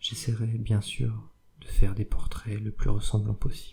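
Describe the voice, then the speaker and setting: Whispering from a soft-spoken man, somewhat breathy and at a fairly slow pace. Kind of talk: whispered audiobook reading of a novel, ASMR. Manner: whispered, soft-spoken.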